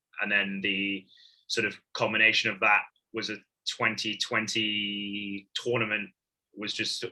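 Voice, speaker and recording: In an American accent, a man delivers his words with monotone, flat intonation and a fairly low pitch. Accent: sometimes heard as American in the UK. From Hong Kong. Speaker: professional rugby player. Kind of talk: podcast interview. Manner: hesitant, many fillers and repeats.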